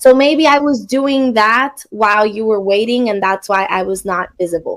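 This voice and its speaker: With a Spanish accent, a woman talks at a moderate pace in a fairly high pitch with ordinary pitch variation. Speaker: online English teacher. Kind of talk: casual chat.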